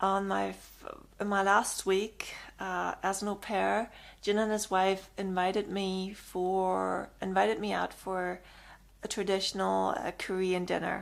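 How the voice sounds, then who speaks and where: In a very clean recording with a silent background, a woman with a German accent speaks at a medium pitch and fairly slow pace in a monotone, flat intonation. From Germany. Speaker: vlogger giving advice. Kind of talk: casual advice monologue.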